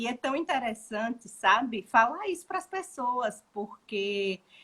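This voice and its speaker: Speaking in a northeastern Brazilian accent, a woman with fairly high pitch and very wide pitch swings goes at a very slow pace with hardly any pauses. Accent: Northeastern Brazilian accent, noticeable. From Brazil, Maceió (Alagoas, Northeast). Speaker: gestalt therapist. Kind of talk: casual chat.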